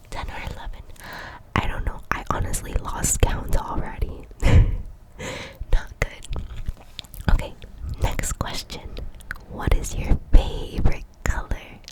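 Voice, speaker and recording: There is noticeable background noise as a woman whispers at a very slow pace, her loudness swinging widely and her pauses long and frequent. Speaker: ASMR creator. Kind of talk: whispered ASMR Q&A chat. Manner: whispered, soft-spoken.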